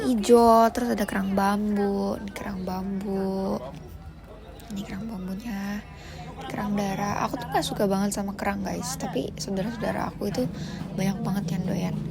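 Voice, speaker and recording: Speaking at a moderate pace, a woman has a medium pitch. Noticeable background noise and audible room echo surround her voice. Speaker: vlogger. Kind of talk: casual vlog narration. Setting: seafood market. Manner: animated. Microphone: mic not connected, quiet sound.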